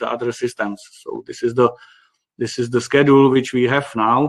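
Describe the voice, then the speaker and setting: A man with a Czech accent, medium in pitch, at a moderate pace. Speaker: company managing director presenting a webinar. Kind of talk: webinar presentation. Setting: online webinar. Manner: halting, many fillers.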